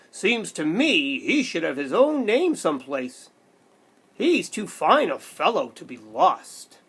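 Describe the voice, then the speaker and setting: A put-on character voice sits at a fairly high pitch, swinging very widely in pitch at a fairly slow pace. The recording is very clean with a silent background. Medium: read story.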